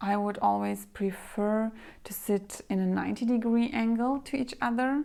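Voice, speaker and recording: Soft-spoken and relaxed in tone, a woman with a medium pitch and a dark, mellow tone talks at a fairly slow pace on a very clean recording with a silent background. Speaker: femininity and etiquette coach. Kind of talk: casual talk to camera. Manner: soft-spoken, relaxed.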